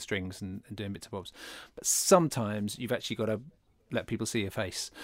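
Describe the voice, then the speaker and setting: A British accent marks the speech. The background is silent on this very clean recording. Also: man. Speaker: podcast host. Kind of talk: casual chat.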